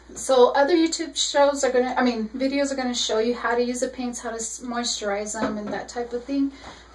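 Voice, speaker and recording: A woman's high-pitched voice with fairly even intonation, over noticeable background noise. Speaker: face painter sharing business tips. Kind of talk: casual tutorial vlog. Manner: hesitant, many ums.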